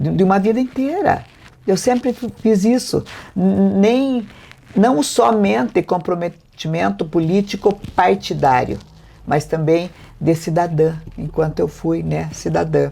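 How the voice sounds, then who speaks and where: A woman's fairly low-pitched voice with a dark, mellow tone, very wide pitch swings and a fairly slow pace. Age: 70s. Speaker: mayor and election candidate. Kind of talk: political interview.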